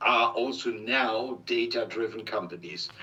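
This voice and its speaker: Lively intonation from a man with a German accent, medium in pitch. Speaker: industry expert. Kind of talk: interview. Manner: reading from notes; halting.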